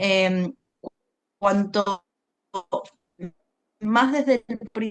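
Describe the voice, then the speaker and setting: A very slow delivery with an Argentine accent and ordinary pitch variation. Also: woman, medium pitch for a woman. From Argentina. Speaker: environmental communication consultant. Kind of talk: interview.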